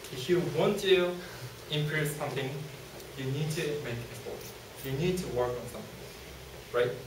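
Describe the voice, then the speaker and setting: In a Japanese accent, a man speaks at a fairly slow pace with a fairly high pitch, amid audible room echo and noticeable background noise. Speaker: university student presenter. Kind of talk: student presentation. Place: classroom. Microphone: camera far.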